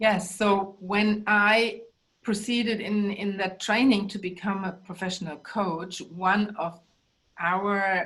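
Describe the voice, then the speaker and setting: A woman with a German accent, medium in pitch, at a very slow pace and in a monotone, flat intonation. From Germany. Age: 60s. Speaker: life coach and bodyworker. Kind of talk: interview.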